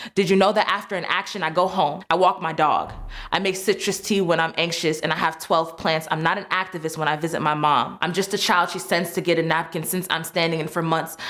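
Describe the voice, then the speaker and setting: With an American accent, a woman speaks in a fairly low pitch at a fairly quick pace. Her intonation is monotone and flat, with hardly any pauses. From Chicago. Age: 20s. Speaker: poet and activist. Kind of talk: spoken word poetry performance.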